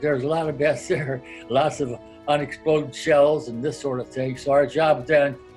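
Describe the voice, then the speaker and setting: Music plays in the background. A man with a fairly high voice speaks at a moderate pace. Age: 90s. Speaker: World War II Navy veteran. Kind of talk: interview answer.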